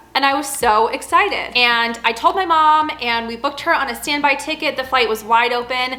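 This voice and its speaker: With noticeable background noise behind her, a woman projects her high voice loudly and hardly pauses. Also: ordinary pitch variation. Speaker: flight attendant vlogger. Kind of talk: casual Q&A vlog. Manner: fast.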